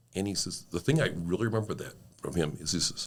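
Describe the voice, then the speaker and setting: A man with a very deep, low voice and an American accent, talking at a fairly quick pace with vocal fry. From Sault Ste. Marie, Michigan/Ontario area (Great Lakes). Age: 60s. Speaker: car dealership owner and community volunteer. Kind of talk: casual interview storytelling.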